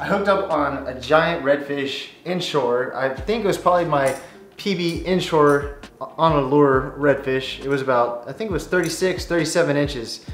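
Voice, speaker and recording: A man at a fairly slow pace with ordinary pitch variation, audible room echo and light background noise. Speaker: fishing video creator. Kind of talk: casual vlog chat. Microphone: camera far.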